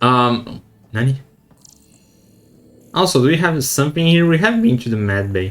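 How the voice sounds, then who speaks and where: A man's medium-pitched voice at a moderate pace, with very wide pitch swings and long, frequent pauses. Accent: non-native. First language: not English. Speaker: gaming streamer. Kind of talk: let's play commentary. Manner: halting.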